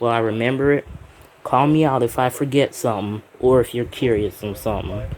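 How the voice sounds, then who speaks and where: A man talks at a medium pitch and moderate pace, intonation fairly even, while noticeable background noise carries on. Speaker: YouTuber, phone collector. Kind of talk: show-and-tell video. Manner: halting.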